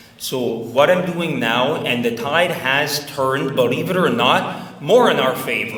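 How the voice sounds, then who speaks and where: Amid noticeable background noise and audible room echo, a man speaks at a fairly slow pace with lively intonation. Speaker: Macedonian diaspora activist. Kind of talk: speech to an audience.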